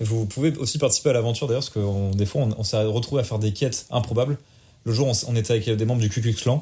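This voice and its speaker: A man speaks at a very fast pace in a dark, mellow, somewhat breathy tone. The recording is very clean, with a silent background. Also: medium pitch for a man, ordinary pitch variation. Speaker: podcast co-host and streamer. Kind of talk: casual chat. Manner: poor articulation.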